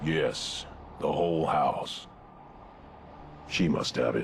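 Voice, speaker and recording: A raspy put-on character voice moves at a very slow pace over clear background noise. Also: man. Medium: video game. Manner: terse, clipped.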